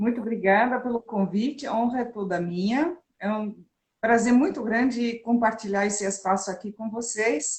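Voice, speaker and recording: Woman's fairly high, somewhat breathy voice, moderate in pace, with ordinary pitch variation. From Germany. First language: German (speaking Portuguese). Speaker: physical education professor. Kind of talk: interview.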